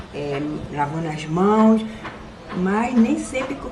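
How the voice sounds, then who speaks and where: Audible room echo and noticeable background noise surround a woman speaking at a very slow pace. She has a medium pitch with ordinary pitch variation. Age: 60s. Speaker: resident. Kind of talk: interview.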